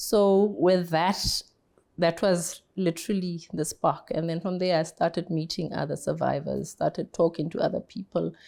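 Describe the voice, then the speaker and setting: In a very clean recording with a silent background, a woman with vocal fry and a dark, mellow tone speaks at a fairly low pitch and moderate pace, her intonation fairly even. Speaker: cancer survivor, foundation founder. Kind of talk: interview testimony. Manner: soft-spoken.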